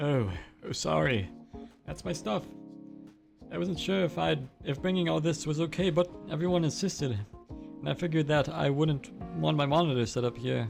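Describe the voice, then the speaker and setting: Putting on a squeaky character voice, a man speaks softly at a fairly high pitch and a moderate pace, with clear music playing in the background. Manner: timid, shy.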